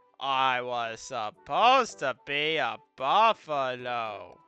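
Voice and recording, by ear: Man in a put-on character voice at a medium pitch, very slow pace, faint music in the background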